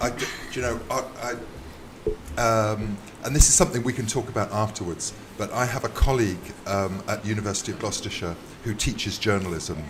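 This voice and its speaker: Through noticeable background noise, a man with a fairly low pitch talks at a fairly quick pace, leaving long, frequent pauses, with ordinary pitch variation. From UK. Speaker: visiting university lecturer. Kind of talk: casual chat. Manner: hesitant, many fillers.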